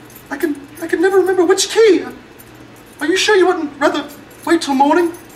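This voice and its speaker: A squeaky, put-on character voice at an extremely high pitch rattles along at a very fast pace. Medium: short film. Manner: stammering, nervous.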